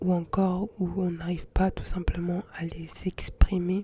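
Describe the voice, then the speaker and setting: A woman speaks softly. Her tone is relaxed. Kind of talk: ASMR soft-spoken intimate chat to camera. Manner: soft-spoken, relaxed, intimate.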